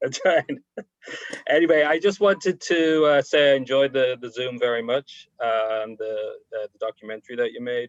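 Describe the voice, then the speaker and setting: The speaker has an American accent and ordinary pitch variation. The pace is moderate, with big swings in loudness. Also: man, fairly high pitch for a man. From Ireland, Dublin. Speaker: congregation member. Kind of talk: anecdote on video call. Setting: video call.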